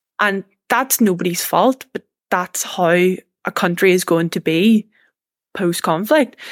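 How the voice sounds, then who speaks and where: A woman with a Northern Irish accent speaks very slowly at a medium pitch, with ordinary pitch variation. The sound is dry and close, with no echo. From Northern Ireland. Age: 20s. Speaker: young political activist and university student. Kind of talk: interview conversation.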